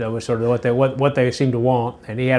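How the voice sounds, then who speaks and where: This voice, with a Memphis accent, holds a monotone, flat intonation. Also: man. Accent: Southern US (Memphis). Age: 60s. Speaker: interviewee recalling childhood. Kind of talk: oral history interview. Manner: halting, many repetitions and fillers.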